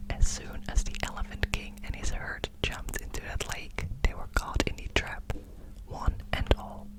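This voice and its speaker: The whispered words come fairly slowly, with noticeable noise behind them. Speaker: ASMR creator. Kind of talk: bedtime story reading.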